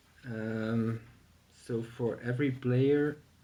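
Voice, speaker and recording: A man speaks with a non-native accent. His tone is dark and mellow. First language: not English. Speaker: board game reviewer. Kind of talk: tutorial. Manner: hesitant, many fillers. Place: home room. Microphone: camera far.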